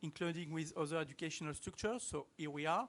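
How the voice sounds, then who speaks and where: The speaker has a French accent. The pace is very fast. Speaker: professor. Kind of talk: conference talk.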